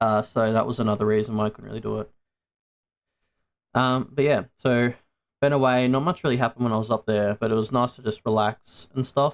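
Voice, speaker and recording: Fairly quick but broken by long, frequent pauses, a man's medium-pitched voice stays fairly even in intonation, with an Australian accent. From Australia, Sydney area. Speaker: VTuber streamer. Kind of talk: casual livestream chat. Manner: casual, many fillers.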